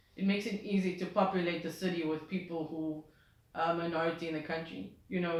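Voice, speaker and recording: The voice moves at a fairly quick pace with fairly even intonation. Room echo is audible. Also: woman. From South Africa. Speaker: music journalist and DJ. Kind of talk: interview. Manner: hesitant with fillers.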